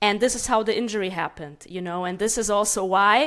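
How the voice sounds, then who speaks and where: A medium-pitched woman with a Russian accent, at a fairly quick pace and with ordinary pitch variation. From Germany, child of Moldovan immigrants. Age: 30s. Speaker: martial arts coach. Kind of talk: interview.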